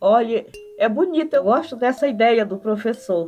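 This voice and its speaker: A woman talks while noticeable background noise plays behind her. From Brazil, Maranhão (Codó, quilombo). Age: 80s+. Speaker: anthropologist. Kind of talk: interview.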